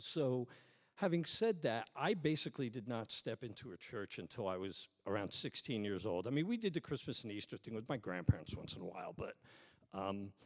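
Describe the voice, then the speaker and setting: With an American accent, a man at medium pitch speaks at a moderate pace, his pitch swinging very widely. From New York. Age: 50s. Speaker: pastor. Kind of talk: sermon. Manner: casual, conversational.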